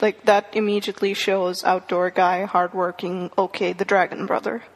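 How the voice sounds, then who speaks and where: With noticeable background noise, a woman speaks at a moderate pace in a medium pitch and a monotone, flat intonation. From India. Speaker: college student and podcast listener. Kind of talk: casual chat.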